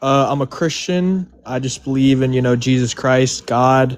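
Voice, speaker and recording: A man speaks at a moderate pace with a medium pitch. He has a normal speaking voice. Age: 20s. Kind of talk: casual debate.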